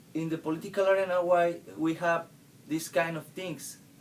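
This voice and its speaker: This man speaks with a Spanish accent in a high pitch, his intonation monotone and flat. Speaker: university student. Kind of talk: class presentation. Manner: halting.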